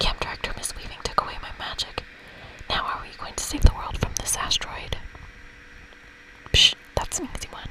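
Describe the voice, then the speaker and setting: Whispering at a fairly quick pace, with long, frequent pauses over noticeable background noise. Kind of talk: ASMR game playthrough reading. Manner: whispered.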